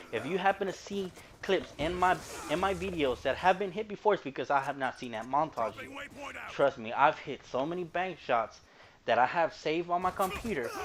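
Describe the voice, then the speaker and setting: Through noticeable background noise, a man with an American accent speaks at a high pitch, fairly quickly and with lively intonation. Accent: strong Mexican-sounding. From Houston, Texas. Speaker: gaming YouTuber. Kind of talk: gameplay commentary.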